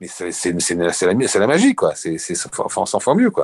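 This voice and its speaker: A plain, everyday voice at a moderate pace against a quiet background. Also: man. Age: 60s. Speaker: retired surf and skate shop founder. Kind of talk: interview.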